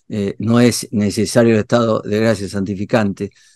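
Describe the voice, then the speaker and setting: The man's voice sits at a medium pitch and keeps a moderate pace. The sound is dry and close with no echo, over a quiet background. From Argentina. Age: 60s. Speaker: theology and philosophy professor. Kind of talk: interview. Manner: hesitant, many fillers and repetitions.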